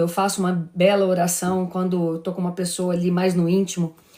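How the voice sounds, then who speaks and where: Talking at a fairly quick pace, the woman has a medium pitch. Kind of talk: religious live stream talk. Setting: live stream. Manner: fast; animated.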